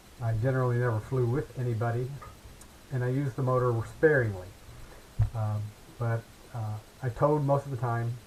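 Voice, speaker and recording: With an American accent, a man talks at a fairly quick pace and medium pitch, his voice somewhat breathy and his intonation fairly even, with long, frequent pauses. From US Midwest. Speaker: glider pilot. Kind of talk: casual storytelling. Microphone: too quiet, unsure where mic is.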